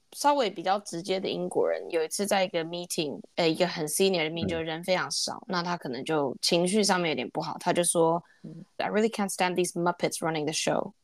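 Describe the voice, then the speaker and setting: Her voice is a normal speaking voice, as a woman with a fairly low pitch and ordinary pitch variation talks at a fairly quick pace. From Taiwan. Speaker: podcast co-host. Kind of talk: casual chat.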